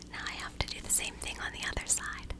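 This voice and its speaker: At a fairly quick pace, a woman is whispering. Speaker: makeup creator. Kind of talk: ASMR get ready with me chat. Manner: whispered. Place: home room. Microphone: studio mic.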